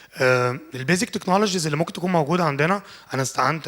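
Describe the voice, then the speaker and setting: Lively intonation marks this man's speech. Noticeable background noise can be heard. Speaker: lecturer and interior design engineer. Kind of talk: lecture. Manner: casual, code-switching with English.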